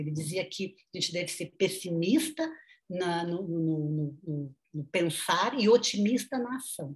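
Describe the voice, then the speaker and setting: A somewhat breathy woman speaks at medium pitch with lively intonation. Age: 50s. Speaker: nutritionist and sociology professor. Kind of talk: interview.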